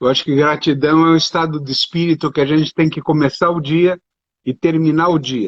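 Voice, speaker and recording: The man's voice is fairly high in pitch, with a monotone, flat intonation and a fairly quick pace. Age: 60s. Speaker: doctor and speaker. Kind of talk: live stream interview.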